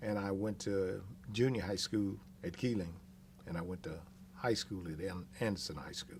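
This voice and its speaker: Somewhat breathy, fairly low male voice at a moderate pace, with ordinary pitch variation and long, frequent pauses. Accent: American. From Texas, Austin (East Austin). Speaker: oral history interviewee. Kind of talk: oral history interview. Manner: hesitant, many fillers.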